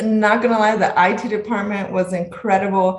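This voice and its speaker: Speech in a Spanish accent moves at a moderate pace with fairly even intonation. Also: woman. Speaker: medical resident. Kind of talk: interview.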